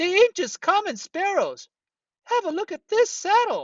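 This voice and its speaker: A man puts on a squeaky character voice at an extremely high pitch, talking at a moderate pace. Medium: read story. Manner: snickering, echoing.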